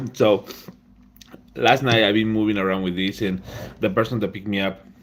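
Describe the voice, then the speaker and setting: A man speaks with a Spanish accent. His pitch is fairly low and his intonation fairly even. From Peru. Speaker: laser engraving content creator. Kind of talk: live stream talk.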